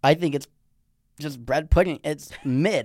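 A man with a fairly high pitch and a plain, everyday voice. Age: young. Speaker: college student guest. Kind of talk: casual chat.

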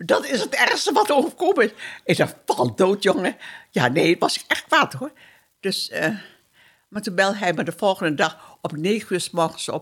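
Speaking at a moderate pace with very wide pitch swings, a woman's medium-pitched voice comes through on a very clean recording over a silent background. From Dutch East Indies, Surabaya (Java). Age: 80s+. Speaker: war survivor. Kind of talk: testimony. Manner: halting.

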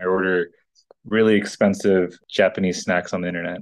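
A man with an American accent speaks in a very deep, low pitch with monotone, flat intonation. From upstate New York, then Victoria, Texas from age 12. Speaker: city council member. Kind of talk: casual interview.

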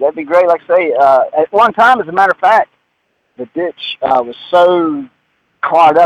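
A man speaks with a Southern US accent at a fairly high pitch, with ordinary pitch variation. The sound is dry and close, with no echo. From Mooresville, North Carolina. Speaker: radio show caller. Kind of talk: call-in question. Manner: halting.

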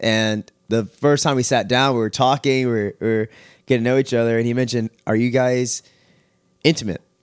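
A man talks at a fairly quick pace and medium pitch with fairly even intonation, in a plain, everyday voice. The sound is dry and close, with no echo. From Texas, Houston area. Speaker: former youth pastor. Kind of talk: testimony. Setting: at home, dog in background.

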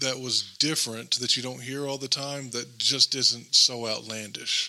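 Noticeable background noise sits behind a man speaking fairly slowly at a medium pitch with ordinary pitch variation. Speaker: guest. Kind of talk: casual chat. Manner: soft-spoken.

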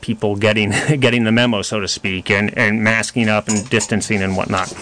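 A man talks in a plain, everyday voice at a medium pitch. His pace is fairly quick and his intonation fairly even. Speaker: doctor guest on radio show. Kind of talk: live radio talk show answering callers. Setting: studio.

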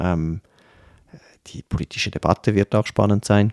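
In a dry, close recording with no echo, a man speaks in a dark, mellow tone with fairly even intonation. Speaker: historian and politician. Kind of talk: interview. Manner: hesitant, many fillers.

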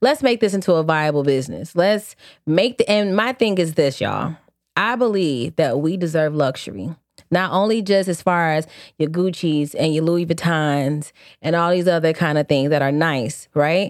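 Lively intonation shapes a woman's speech at a moderate pace. The recording is very clean, with a silent background. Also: fairly low pitch for a woman. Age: 30s. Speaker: podcast co-host. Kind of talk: casual chat. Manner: animated.

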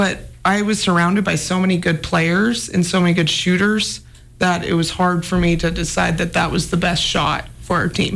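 In an American accent, the speaker keeps a monotone, flat intonation and very even loudness at a moderate pace while music plays in the background. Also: woman, fairly low pitch for a woman. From Anaconda, Montana. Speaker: former college basketball player, pro overseas. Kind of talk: casual interview.

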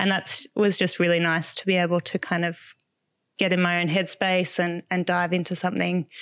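Over a quiet background, a woman with an Australian accent speaks at a medium pitch and moderate pace, the sound dry and close with no echo. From Australia, Melbourne. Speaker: writer and content strategist. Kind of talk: casual interview. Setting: at her home.

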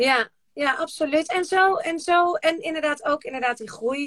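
A woman speaks at an extremely high pitch and a moderate pace, with ordinary pitch variation. The sound is dry and close, with no echo. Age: 40s. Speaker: podcast host. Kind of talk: casual chat. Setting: Instagram live video from a shed.

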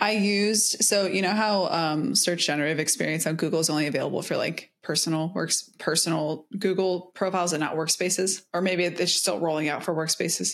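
Fairly low for a woman, her plain, everyday voice, in an American accent, moves at a fairly quick pace with hardly any pauses, fairly even intonation and very even loudness. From US South. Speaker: podcast co-host. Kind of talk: casual chat.

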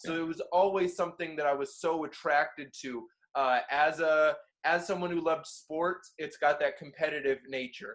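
In an American accent, the speaker goes at a moderate pace with fairly even intonation. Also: man. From Florida (Orlando). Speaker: battle rapper and freestyler. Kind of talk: casual interview chat.

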